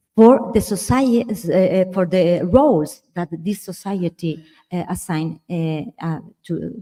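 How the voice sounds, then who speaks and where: This woman has a dark, mellow tone and a fairly low pitch. She speaks at a fairly slow pace in a dry, close sound with no echo. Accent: Spanish. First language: Spanish. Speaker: architectural historian. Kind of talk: symposium discussion. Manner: halting, many fillers.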